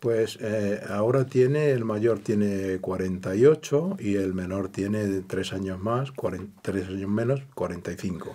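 A man's dark, mellow voice at a fairly low pitch, very slow in pace with hardly any pauses. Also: ordinary pitch variation. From Andalusia, Granada province; Andalusia. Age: 70s. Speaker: retired electrician; interview guest. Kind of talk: interview. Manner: halting. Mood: calm reminiscing. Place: studio.

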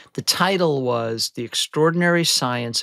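A man's bright, sharp voice with lively intonation, dry with no echo, over a quiet background. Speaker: remote guest. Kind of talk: interview answer. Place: home room.

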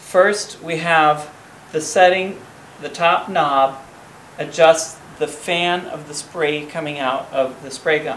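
A man speaks at a very slow pace with fairly even intonation. Audible room echo and light background noise surround him. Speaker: home workshop host. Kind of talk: tutorial. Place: garage. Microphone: camera far.

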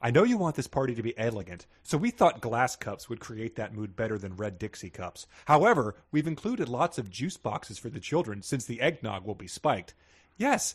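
A man's somewhat breathy voice at a moderate pace, with very wide pitch swings and hardly any pauses. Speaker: comedy podcast co-host. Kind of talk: comedic casual chat. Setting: at home, remote recording.

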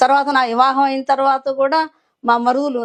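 A woman is speaking. Her voice sits high in pitch. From coastal Andhra Pradesh (Repalle, Guntur area). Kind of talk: testimony.

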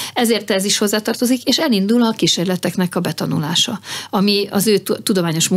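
Against a quiet background, a woman rattles along at a very fast pace with very even loudness. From Hungary. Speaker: government space research commissioner. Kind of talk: radio interview. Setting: studio. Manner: halting. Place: studio. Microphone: studio mic.

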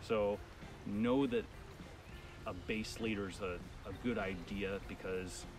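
A man with a fairly low pitch and ordinary pitch variation is heard in a dry sound with no echo, with clear music in the background. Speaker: fly fishing guide. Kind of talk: tutorial. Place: waterside. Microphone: camera far.

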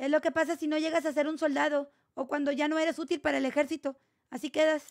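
Against a quiet background, a woman talks at a very fast pace in a high pitch. Her intonation is flat and monotone. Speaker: gaming streamer. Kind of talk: live gameplay stream chat. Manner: soft-spoken. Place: home room. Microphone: far from the mic, too quiet at first.

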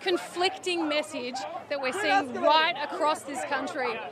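A woman talks at a moderate pace with crowd noise behind her. The sound is dry, with no echo. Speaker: TV news reporter. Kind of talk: live news report. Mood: tense, saddened. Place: street. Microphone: handheld.

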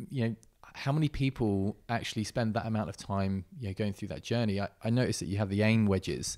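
Over a quiet background, a man with an English accent talks at a very fast pace in a fairly low pitch with ordinary pitch variation. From England. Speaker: podcast host. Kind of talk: casual interview. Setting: in person at guest's home. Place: gym. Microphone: handheld.

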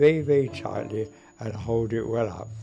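Faint music plays in the background as a man talks at a moderate pace with ordinary pitch variation. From London. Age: 80s+. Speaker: magician. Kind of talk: interview monologue.

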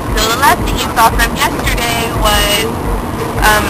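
A woman's fairly slow speech against loud background noise. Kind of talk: casual vlog chat. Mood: relaxed, playful. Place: car. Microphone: phone near.

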